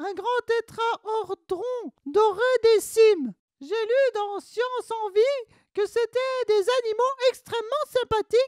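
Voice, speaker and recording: A female-sounding voice puts on a character voice at an extremely high pitch. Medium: short film. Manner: eager, chatty.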